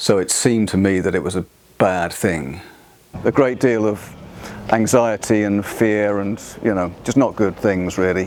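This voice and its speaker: A man with a British accent at a moderate pace, ordinary pitch variation, noticeable background noise. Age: 50s. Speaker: musician with a stammer. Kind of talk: documentary interview. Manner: halting.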